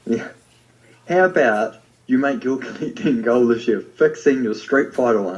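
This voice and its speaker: The speaker has a New Zealand accent. The intonation is lively. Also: man, medium pitch for a man, moderate pace. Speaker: podcast co-host. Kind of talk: casual chat.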